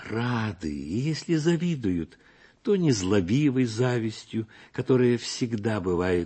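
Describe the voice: Someone does plain reading aloud.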